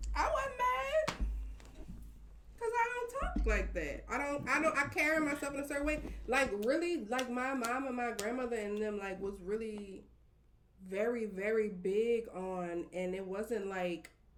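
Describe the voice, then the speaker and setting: Fairly high-pitched and lively in intonation, a woman talks at a fairly slow pace through noticeable background noise and audible room echo. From New Orleans, Uptown. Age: 30s. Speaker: podcast guest. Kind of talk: casual chat.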